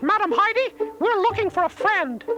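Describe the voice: Faint music plays behind a cartoonish character voice with a bright, sharp tone and lively intonation at a moderate pace. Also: man, extremely high pitch for a man.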